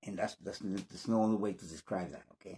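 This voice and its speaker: A man's dark, mellow voice with a slight Spanish accent, in dry, close sound with no echo. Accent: slight Spanish accent, near-native English. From Spanish-speaking country. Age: 50s. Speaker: English learning YouTuber. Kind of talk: casual vlog monologue. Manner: halting, many repetitions and restarts.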